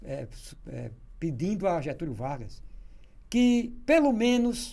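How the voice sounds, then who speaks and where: Room echo is audible as the voice, dark and mellow in tone, swings very widely in pitch. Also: man. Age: 60s. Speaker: journalist. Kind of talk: casual interview storytelling.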